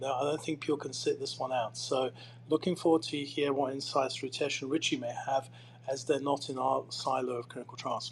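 A man talks at a fairly high pitch. He has a plain, everyday voice. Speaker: podcast co-host. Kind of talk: panel discussion. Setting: live audio chat room.

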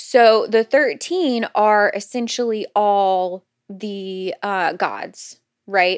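On a very clean recording with a silent background, a woman speaks at a very slow pace with ordinary pitch variation, the sound dry and close with no echo. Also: medium pitch for a woman. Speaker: podcast host. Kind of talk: casual chat.

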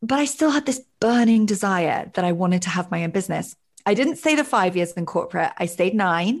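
Against a quiet background, a woman with a medium pitch and a somewhat breathy voice speaks at a fairly quick pace with very wide pitch swings. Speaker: life coach. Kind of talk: casual interview.

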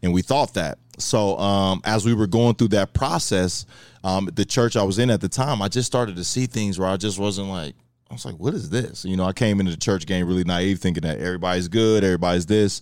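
A man with an American accent and a fairly low pitch talks at a fairly quick pace with ordinary pitch variation. It is an ordinary speaking voice, recorded very cleanly against a silent background. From Kansas City. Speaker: former college football player, sports trainer. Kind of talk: casual interview.

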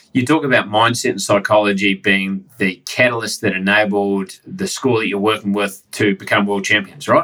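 Speaking with a New Zealand accent, a man uses a fairly low pitch and a bright, sharp tone, keeping fairly even intonation at a moderate pace with hardly any pauses. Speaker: podcast host. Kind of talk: interview conversation. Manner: casual.

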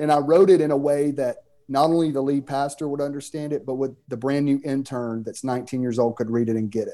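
A man with a Southern US accent talks at a very fast pace in a fairly high pitch, his tone dark and mellow and his intonation fairly even. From US South, Mississippi. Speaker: pastor and author. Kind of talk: interview, casual conversation.

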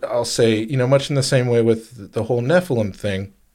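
A man with an ordinary speaking voice talks at medium pitch and a moderate pace with ordinary pitch variation on a very clean recording with a silent background. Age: 30s. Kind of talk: casual chat.

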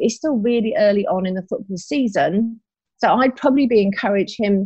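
A woman speaks at a moderate pace, her pitch fairly high with ordinary pitch variation. Her voice is somewhat breathy. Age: 50s. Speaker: business coach. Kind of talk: podcast interview. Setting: recording from home.

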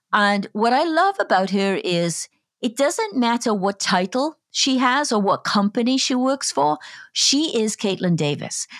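A woman with a Welsh accent and a fairly high pitch speaks at a fairly slow pace, her pitch swinging very widely while her loudness stays very even, on a very clean, dry, close recording with a silent background and no echo. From Wales. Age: 50s. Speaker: podcast host. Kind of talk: interview.

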